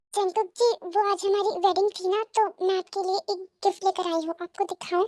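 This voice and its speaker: A woman does a squeaky put-on character voice at an extremely high pitch. Her intonation stays fairly even at a moderate pace, with dry, close sound and no echo. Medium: read story.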